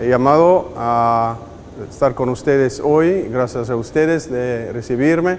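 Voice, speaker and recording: Very slow delivery with a non-native accent, ordinary pitch variation and audible room echo. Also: man. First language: not Spanish; Spanish is fifth language (speaking Spanish). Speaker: spiritual director teacher. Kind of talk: lecture.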